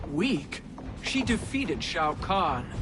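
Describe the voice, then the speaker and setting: Loud background noise sits under a cartoonish character voice. The pitch is middle. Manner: firm, honorable.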